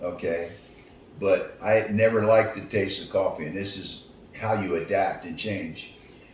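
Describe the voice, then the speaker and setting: A man with an American accent, fairly low-pitched and fairly even in intonation, at a moderate pace, his loudness swinging widely amid noticeable background noise and audible room echo. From US Northeast, Philadelphia. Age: 70s. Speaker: retired athlete. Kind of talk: interview. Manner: halting.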